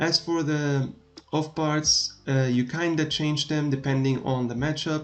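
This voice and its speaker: With a non-native accent, a man speaks at a moderate pace in a monotone, flat intonation. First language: not English. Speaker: gaming streamer. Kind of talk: tutorial. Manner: hesitant, many filler sounds. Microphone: laptop recording, not the best quality.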